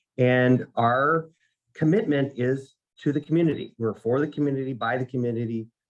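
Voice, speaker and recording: The speaker talks at a moderate pace with a Minnesotan accent. Pitch varies in an ordinary way. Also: man. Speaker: nursing college dean, military veteran. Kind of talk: conference presentation. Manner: halting, self-repeating.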